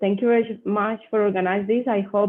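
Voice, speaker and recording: A woman's voice at medium pitch with a Spanish accent and monotone, flat intonation. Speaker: mining company representative. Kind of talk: Q&A after a presentation. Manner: halting.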